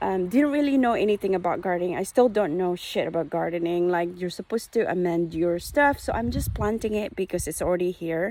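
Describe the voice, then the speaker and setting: The voice has a dark, mellow tone and lively intonation, moving at a fairly quick pace with hardly any pauses. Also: woman, fairly low pitch for a woman. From Philippines. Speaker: hobby gardener vlogger. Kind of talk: casual vlog walkthrough. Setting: outdoors in garden. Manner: halting, many fillers.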